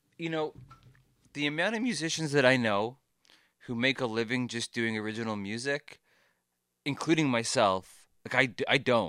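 With a Canadian accent, a man speaks at a moderate pace in a bright, sharp tone of medium pitch. Long, frequent pauses break his speech, and the recording is very clean with a silent background. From Ontario, Canada. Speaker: musician. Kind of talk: casual chat. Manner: animated.

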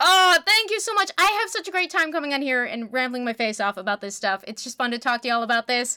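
In a raised, projected voice, a woman speaks at a high pitch and a very fast pace, with very wide pitch swings and hardly any pauses. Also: dry, close sound with no echo. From Canada. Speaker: podcast guest, comics commentator. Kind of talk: casual chat.

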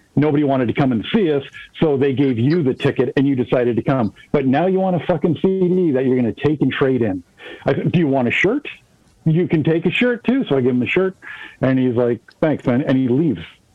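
Noticeable noise sits behind a voice of very even loudness. The intonation is lively and the pace fairly quick. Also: man, fairly high pitch for a man. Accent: Canadian. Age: 40s. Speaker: musician. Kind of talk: casual chat.

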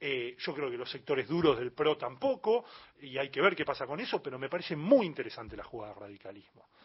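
Breathing somewhat audibly, a man speaks at a very fast pace with big swings in loudness. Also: fairly high pitch for a man, lively intonation. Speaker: journalist and magazine editor. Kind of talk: radio interview.

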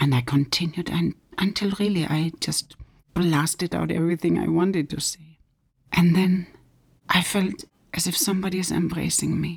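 A woman's fairly low voice with vocal fry, ordinary pitch variation, and a moderate pace. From Germany. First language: German. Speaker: author. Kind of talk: testimony. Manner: animated.

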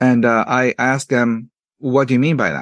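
Speaking at a moderate pace, a man with a Japanese accent keeps to a medium pitch. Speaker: author. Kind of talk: interview. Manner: halting, many fillers and repetitions.

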